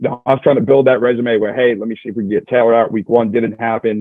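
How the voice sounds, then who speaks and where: Flat, monotone delivery at a very fast clip. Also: man. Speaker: reality show contestant. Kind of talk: interview. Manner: loud.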